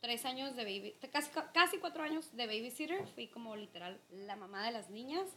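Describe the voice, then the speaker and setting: Pitched high for a woman, her bright, sharp voice swings very widely in pitch at a fairly quick pace. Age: 30s. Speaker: podcast co-host. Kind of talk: casual chat.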